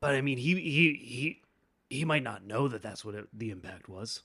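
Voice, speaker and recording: Putting on a raspy character voice at medium pitch, a man speaks at a moderate pace with lively intonation. His loudness swings widely. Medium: actual play. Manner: stammering, casual and defensive.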